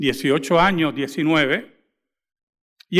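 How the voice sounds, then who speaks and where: A man is speaking. His voice is high-pitched. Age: 60s. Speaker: pastor. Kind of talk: sermon. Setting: church.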